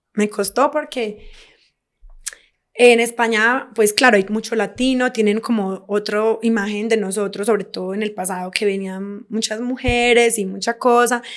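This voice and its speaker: A woman speaks with a Colombian accent. Her pitch is fairly high. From Colombia, Medellín. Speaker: podcast guest, expat. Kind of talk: casual interview chat. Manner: animated.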